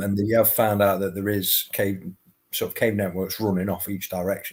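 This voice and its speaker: A man's fairly low, monotone, flat voice at a moderate pace. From United Kingdom. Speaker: paranormal podcast host. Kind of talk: interview answer.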